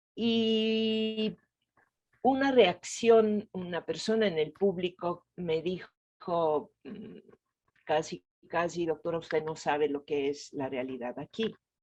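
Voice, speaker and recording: Her pitch is fairly low for a woman, and she talks very slowly. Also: lively intonation. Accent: Italian. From Italy, Venice. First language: Italian (speaking Spanish). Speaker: gynecologist and reproductive health expert. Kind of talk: interview.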